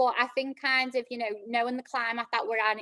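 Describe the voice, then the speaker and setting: In a Liverpool accent, a woman speaks in a high voice with monotone, flat intonation and a bright, sharp tone, the sound dry and close with no echo. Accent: Liverpool (Scouse). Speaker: club operations manager. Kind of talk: career talk. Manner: hesitant, many fillers.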